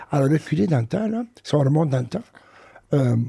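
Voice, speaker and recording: A man speaks at a moderate pace in a fairly high, somewhat breathy voice. His tone is dark and mellow. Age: 60s. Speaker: professor of education. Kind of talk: interview testimony. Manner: hesitant, many fillers.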